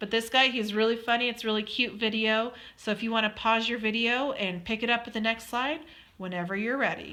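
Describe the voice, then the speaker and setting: A woman with an American accent, a bright, sharp tone, fairly high pitch, fairly even intonation, and a fairly quick pace. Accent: Western US, kind of. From Colorado, US. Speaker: student presenter. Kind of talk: recorded slide presentation. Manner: casual, with many fillers.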